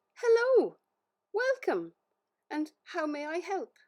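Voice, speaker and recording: A woman uses a squeaky, put-on character voice with an extremely high pitch. Her pace is fairly slow. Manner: nervous, eager to please.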